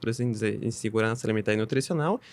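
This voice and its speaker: Talking at a very fast pace in a Bolivian accent, a man speaks at a medium pitch, the sound dry and close with no echo. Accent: foreign accent in Portuguese (Bolivian). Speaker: UN agency technical coordinator. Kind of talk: podcast interview. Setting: studio.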